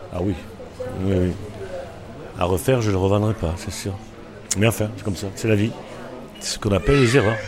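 With fairly low pitch and fairly even intonation, a man talks at a fairly quick pace broken by long, frequent pauses, amid audible room echo and noticeable background noise. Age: 60s. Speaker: restaurant owner. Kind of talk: casual interview. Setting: in a bar. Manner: halting.

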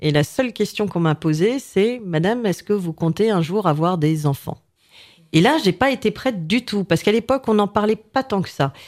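A normal speaking voice, with lively intonation and a moderate pace, comes through on a very clean recording with a silent background. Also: woman, medium pitch for a woman. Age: 40s. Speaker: business owner. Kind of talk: casual chat.

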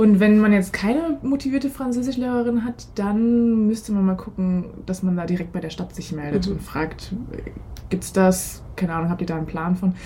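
At a moderate pace, a woman with a normal speaking voice and medium pitch uses lively intonation. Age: 20s. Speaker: former exchange participant, political science graduate. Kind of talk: casual interview.

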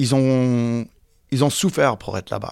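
This man talks at a fairly slow pace in a medium pitch. The recording is very clean, with a silent background. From United States. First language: English (speaking French). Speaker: interviewee. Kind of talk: interview.

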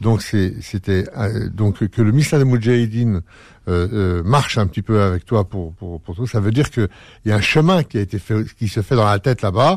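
The recording is dry and close with no echo. A man with a fairly low voice speaks at a moderate pace, with ordinary pitch variation. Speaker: radio host. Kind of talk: radio interview. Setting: studio. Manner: halting, repeats words.

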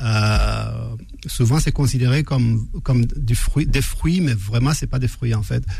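At a very slow pace and very even loudness, a man talks amid audible room echo and noticeable background noise. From northern Chad, Faya. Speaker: pastry chef. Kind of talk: radio interview. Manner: halting.

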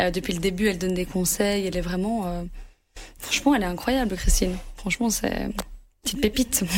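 The delivery moves at a very fast pace. Long, frequent pauses break it up. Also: woman, medium pitch for a woman, ordinary pitch variation. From Brussels, Belgium. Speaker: pitchside football reporter. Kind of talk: interview. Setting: studio.

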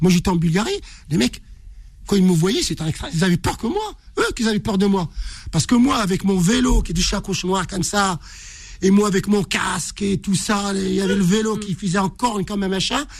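A high-pitched man at a fairly quick pace, with ordinary pitch variation, long, frequent pauses and noticeable background noise. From Morocco (Casablanca). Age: 60s. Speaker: ultra-distance runner. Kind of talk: interview storytelling.

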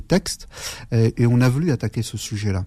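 Pitched in the medium range, a man's voice carries a dark, mellow tone. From Algeria (Aurès, Chaoui), raised in France from age 7. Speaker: politician. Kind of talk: radio interview. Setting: studio. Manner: halting, many repetitions and fillers.

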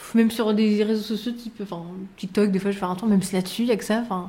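A woman talks at a very fast pace in a dark, mellow, somewhat breathy voice with a monotone, flat intonation. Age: 20s. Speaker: recruiter. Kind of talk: interview.

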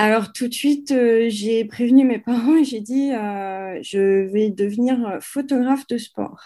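Her dark, mellow tone carries ordinary pitch variation as the woman speaks at a very slow pace. There are hardly any pauses, and the recording is very clean with a silent background. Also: fairly high pitch for a woman. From France. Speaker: sports photographer. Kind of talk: interview. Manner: halting.

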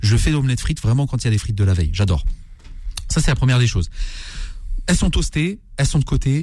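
A man at a very fast pace, with lively intonation. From Algerian heritage, Kabylie family. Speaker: chef. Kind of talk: cooking tutorial on radio.

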